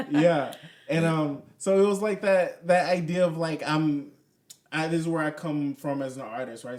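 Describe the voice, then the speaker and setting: At a moderate pace, a man with an ordinary speaking voice talks at a fairly high pitch, with big swings in loudness. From US South, New Orleans. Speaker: spoken word poet and artist. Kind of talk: casual podcast interview.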